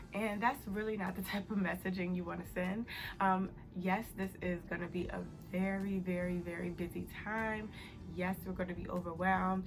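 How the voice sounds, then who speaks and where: A soft-spoken woman whispers over background music, with audible echo from the room. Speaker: accounting youtuber. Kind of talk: casual advice vlog. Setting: home, early morning. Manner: whispering, soft.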